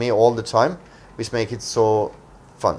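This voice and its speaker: With a Norwegian accent, a man talks at a moderate pace and medium pitch on a very clean recording with a silent background. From Norway, coastal. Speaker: internet entrepreneur. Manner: hesitant, many fillers.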